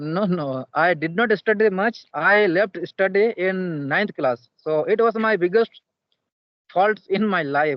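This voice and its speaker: A man's high-pitched voice at a very slow pace. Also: ordinary pitch variation. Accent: Indian. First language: Santali. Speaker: English learner. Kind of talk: casual chat. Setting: video call; outdoors. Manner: halting.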